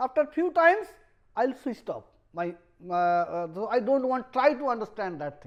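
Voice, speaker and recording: The speaker has a Bengali accent. The pace is moderate. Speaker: professor. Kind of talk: lecture. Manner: halting, with many fillers.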